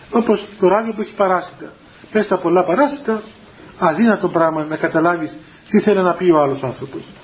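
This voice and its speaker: A man speaking fairly quickly at a high pitch, with noticeable background noise. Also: ordinary pitch variation. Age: 30s. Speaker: Orthodox spiritual teacher. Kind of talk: religious talk to young people. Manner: halting.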